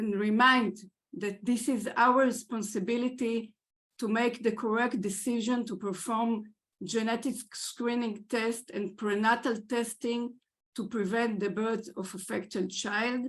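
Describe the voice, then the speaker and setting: A woman speaks fairly slowly at a fairly high pitch, somewhat breathy. Her intonation stays fairly even. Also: quiet background. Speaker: genetics lab head, scientist. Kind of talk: lecture. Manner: halting, many fillers.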